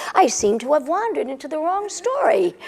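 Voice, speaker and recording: A woman's put-on character voice at an extremely high pitch, with very wide pitch swings and a fairly quick pace. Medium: stage play.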